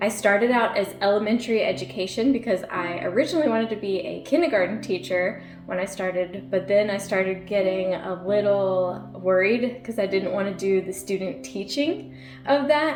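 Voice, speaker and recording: A woman with an American accent and hardly any pauses, with music in the background and audible room echo. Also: medium pitch for a woman, lively intonation, moderate pace. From Virginia. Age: 30s. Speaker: YouTuber. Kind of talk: casual chat. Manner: animated.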